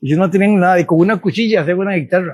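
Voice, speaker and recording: This is a man talking. His pitch sits high. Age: 80s+. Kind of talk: casual chat.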